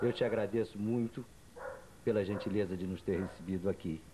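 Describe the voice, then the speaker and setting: With noticeable background noise behind him, a man talks at a moderate pace, fairly low in pitch, with fairly even intonation. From Rio de Janeiro state, Brazil. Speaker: journalist interviewer. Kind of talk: interview. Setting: at guest's home. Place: home room. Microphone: handheld.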